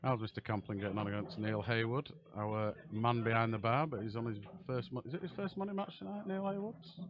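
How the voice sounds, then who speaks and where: The pitch swings very widely in a Yorkshire accent. The pace is fairly quick. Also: man, medium pitch for a man. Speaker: pool commentator. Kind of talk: live commentary. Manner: casual, chatty.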